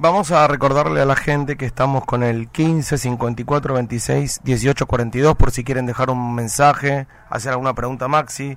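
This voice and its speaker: Fairly slow with hardly any pauses, a man talks at medium pitch with fairly even intonation, an ordinary speaking voice. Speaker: radio host. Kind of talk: radio interview.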